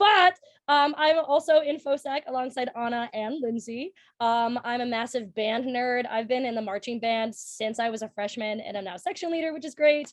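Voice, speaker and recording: An animated woman with a Minnesotan accent, high pitch and lively intonation at a moderate pace, against a quiet background. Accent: Minnesota. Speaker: college student. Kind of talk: casual chat.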